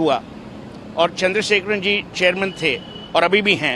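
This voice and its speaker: A high-pitched man against noticeable background noise. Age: 60s. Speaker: friend of a late businessman, interviewee. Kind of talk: media interview. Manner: halting, with frequent fillers.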